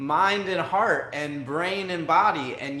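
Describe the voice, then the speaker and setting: Over noticeable background noise and audible room echo, a man talks at a high pitch. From New York. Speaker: podcast host. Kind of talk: interview conversation.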